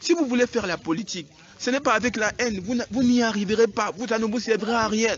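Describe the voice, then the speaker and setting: A man's extremely high voice with ordinary pitch variation at a fairly quick pace, amid noticeable background noise. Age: young. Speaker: local politician. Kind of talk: emotional public statement. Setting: outdoors. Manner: pleading.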